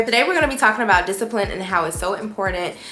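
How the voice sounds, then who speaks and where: A woman talks with ordinary pitch variation. Behind her, music is playing. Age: 20s. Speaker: lifestyle YouTuber. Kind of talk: casual talk to camera.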